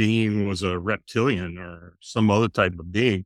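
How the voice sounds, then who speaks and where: Recorded very cleanly with a silent background, a man with an American accent speaks at a fairly low pitch. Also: dry, close sound with no echo. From US, south central Pennsylvania. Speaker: paranormal investigator and author. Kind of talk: interview.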